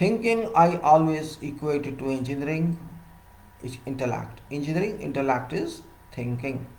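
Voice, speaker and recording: A man with a fairly high pitch speaks at a fairly slow pace with lively intonation, and audible room echo surrounds him. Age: 60s. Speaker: civil engineer giving professional talks. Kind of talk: solo lecture.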